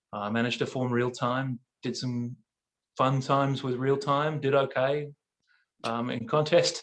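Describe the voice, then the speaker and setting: Fairly slow speech from a man with an Australian accent, medium pitch, fairly even intonation, and long, frequent pauses. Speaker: barbershop quartet singer. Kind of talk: casual chat. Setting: video call.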